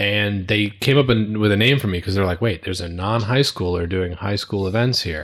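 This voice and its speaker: An unremarkable speaking voice with an American accent carries ordinary pitch variation. Hardly any pauses break it up. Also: man, fairly low pitch for a man, fairly quick pace. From New York (Brooklyn and Long Island), then Connecticut from age nine. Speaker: audio-visual tech business owner. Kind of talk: casual interview.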